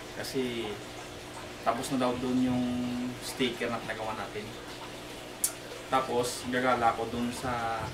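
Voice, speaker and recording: Noticeable background noise sits under the man as he talks. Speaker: vlogger. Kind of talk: casual vlog chat. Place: garage.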